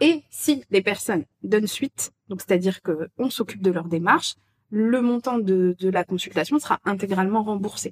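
A woman speaks at a moderate pace in a plain, everyday voice, medium in pitch with lively intonation, recorded with a dry, close sound and no echo. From France. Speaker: expat agency co-founder. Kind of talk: casual interview. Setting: recorded at the guests' home.

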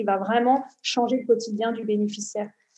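Fairly even intonation and a dark, mellow tone come at a moderate pace. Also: woman. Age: 40s. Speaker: social entrepreneur. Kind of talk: interview.

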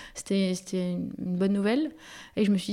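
This woman has a medium-pitched voice with a dark, mellow tone and talks at a moderate pace. The recording is very clean, with a silent background. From Paris, France. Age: 30s. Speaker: café-workshop founder. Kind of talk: interview. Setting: in her café. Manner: hesitant, many fillers.

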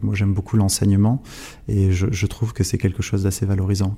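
The voice has a dark, mellow tone, somewhat breathy, delivered at a fairly quick pace with monotone, flat intonation. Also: man. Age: 20s. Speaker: lawyer. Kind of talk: interview. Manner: halting.

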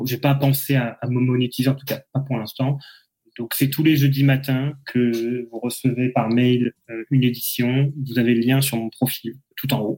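Monotone, flat delivery from a man at medium pitch, with a dark, mellow tone and a fairly slow pace. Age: 30s. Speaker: former lawyer, AI ethics newsletter writer. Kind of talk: casual chat. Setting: live podcast recorded on LinkedIn.

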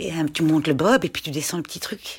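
A woman's fairly low voice with vocal fry at a fairly quick pace, on a very clean recording with a silent background. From German-speaking Switzerland, Schaffhausen. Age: 40s. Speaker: parent of a child with a muscle disease, former doctor, shop owner. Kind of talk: casual interview.

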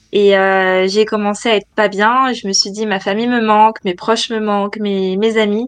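A woman's medium-pitched, monotone delivery with hardly any pauses. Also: moderate pace. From France, Nantes. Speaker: entrepreneur, interior designer. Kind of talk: interview. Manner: halting.

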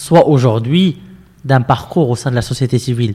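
This is a man's voice. It sounds somewhat breathy. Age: 30s. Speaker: civic movement founder. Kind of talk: interview conversation. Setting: movement headquarters.

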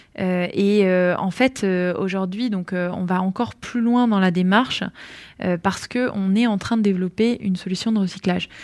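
On a very clean recording with a silent background, a woman at medium pitch speaks fairly slowly with fairly even intonation. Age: 30s. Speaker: entrepreneur. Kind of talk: interview. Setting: on location at her workplace. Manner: halting, many hesitations.

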